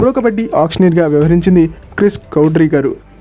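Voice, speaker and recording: A man speaks while music plays in the background. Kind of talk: sports news explainer to camera. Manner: casual, chatty.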